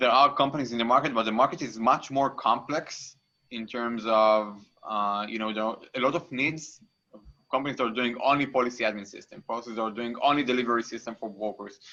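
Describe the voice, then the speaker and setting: Bright, sharp tone from a man. The intonation stays fairly even. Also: medium pitch for a man, fairly quick pace, big swings in loudness. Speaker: insurance startup CEO. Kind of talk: interview on a live online event.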